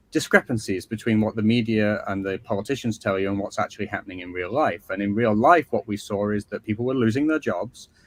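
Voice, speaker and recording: A man's fairly quick speech with an English accent, a dry, close sound with no echo, and a very clean recording with a silent background. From northern England, Skelmersdale near Liverpool. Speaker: author. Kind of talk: interview.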